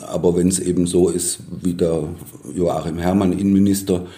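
The delivery has a moderate pace and monotone, flat intonation with a dark, mellow tone. Audible room echo surrounds it. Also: man. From Baden-Württemberg, near Stuttgart. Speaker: journalist. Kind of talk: interview.

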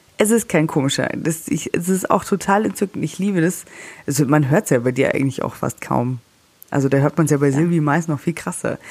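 The woman's pitch is very deep and low. She moves along at a fairly quick pace. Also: ordinary pitch variation. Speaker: celebrity news podcast host. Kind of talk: casual chat. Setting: holiday room in the Alps.

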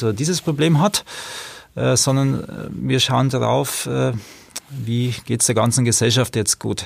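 Fairly slow speech from a man at medium pitch, with vocal fry. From Regensburg, Bavaria. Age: 40s. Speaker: street social worker. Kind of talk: interview.

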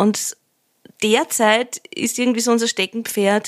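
In an unremarkable speaking voice, a woman talks at a fairly slow pace, the sound dry and close with no echo. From Lower Austria. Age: 30s. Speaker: musician. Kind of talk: interview.

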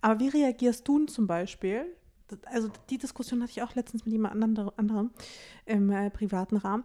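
With a dark, mellow tone, a woman speaks at a fairly high pitch and a moderate pace, with ordinary pitch variation. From eastern Germany, Russian-speaking family. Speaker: podcast host. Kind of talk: casual chat.

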